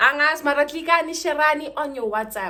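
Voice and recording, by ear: A woman talks with a high pitch and a bright, sharp tone. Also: ordinary pitch variation, fairly quick pace.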